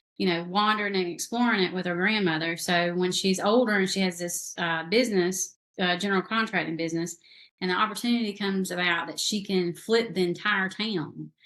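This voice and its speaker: A woman talks at a fairly quick pace with a medium pitch. Her intonation stays fairly even. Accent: Southern US. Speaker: novelist. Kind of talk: casual interview chat.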